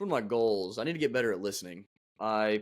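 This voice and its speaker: A man talking at a very fast pace. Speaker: podcast co-host. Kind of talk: casual chat. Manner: mumbling at times.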